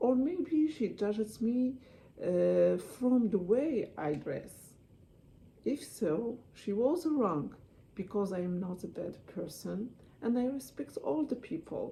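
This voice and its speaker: Speaking at a very slow pace with a non-native accent, a woman's fairly high voice makes very wide pitch swings. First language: not English (English is her third language). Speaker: student giving a class speech. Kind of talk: persuasive speech. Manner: halting.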